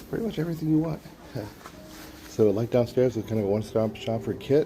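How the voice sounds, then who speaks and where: Man at a medium pitch, talking very fast with ordinary pitch variation over noticeable background noise. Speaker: airsoft vlogger. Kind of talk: casual walkthrough vlog. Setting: inside a shop in Tokyo. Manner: hesitant, many fillers.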